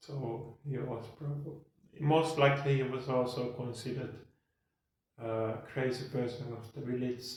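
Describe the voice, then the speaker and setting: A man in a Finnish accent, medium-pitched and monotone with flat intonation, at a fairly slow pace with audible room echo. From Finland (Lahti). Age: 40s. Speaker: podcast host. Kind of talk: casual monologue. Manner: pauses in speech; slow and clear.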